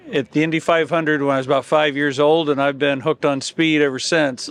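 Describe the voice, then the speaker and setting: Noticeable background noise runs under this recording. A man with an American accent speaks at a fairly high pitch. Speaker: race fan visitor. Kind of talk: casual chat.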